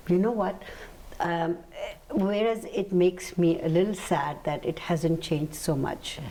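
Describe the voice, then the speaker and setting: A woman's fairly low-pitched voice with ordinary pitch variation over noticeable background noise. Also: fairly slow pace. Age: 70s. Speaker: talk show host. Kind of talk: interview. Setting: studio.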